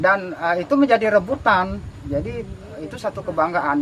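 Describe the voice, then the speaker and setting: Over noticeable background noise, a man with a high-pitched voice speaks at a moderate pace with lively intonation. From Indonesia, Jambi (Kuala Tungkal). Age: 60s. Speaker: craftsman. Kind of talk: interview. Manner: hesitant, many fillers.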